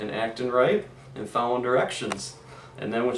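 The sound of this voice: A reading voice, unforced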